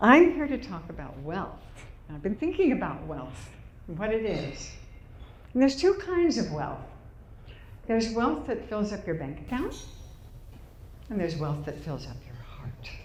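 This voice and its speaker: In a room with audible echo, a woman with a fairly high voice speaks at a moderate pace, her pitch swinging very widely between long, frequent pauses. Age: 80s+. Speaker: public speaker. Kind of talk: inspirational talk. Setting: stage with audience.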